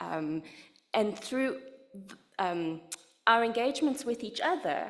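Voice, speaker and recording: In a South African accent, a woman talks at a fairly slow pace with ordinary pitch variation. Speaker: literacy education researcher. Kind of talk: lecture.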